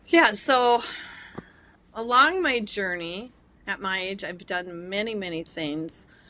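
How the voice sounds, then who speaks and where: A woman speaks very slowly, with long, frequent pauses and big swings in loudness. Her intonation is lively, and background noise is noticeable. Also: medium pitch for a woman. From rural Minnesota, US Midwest. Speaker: psychologist. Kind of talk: interview.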